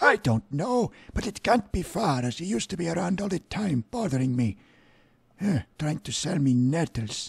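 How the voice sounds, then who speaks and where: A man's raspy, high-pitched put-on character voice at a moderate pace, with very wide pitch swings. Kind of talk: comic character voice. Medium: game stream. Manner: grumpy, complaining.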